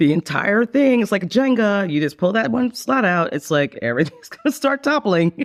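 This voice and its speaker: Recorded dry and close with no echo, the voice moves at a moderate pace with very wide pitch swings and very even loudness, over noticeable background noise. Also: man, high pitch for a man. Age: 50s. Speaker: podcast guest seeking a partner. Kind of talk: casual interview chat. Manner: halting, with frequent restarts.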